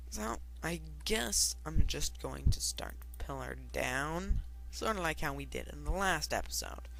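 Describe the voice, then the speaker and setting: With music in the background and audible room echo, a man speaks at a fairly slow pace in a flat monotone. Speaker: gaming youtuber. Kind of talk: let's play commentary.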